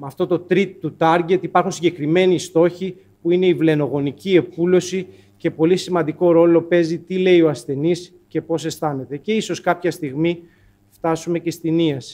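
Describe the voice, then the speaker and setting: A man speaks at a moderate pace in a high voice with a dark, mellow tone. His intonation is monotone and flat. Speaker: presenter. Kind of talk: lecture. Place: hall. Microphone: podium.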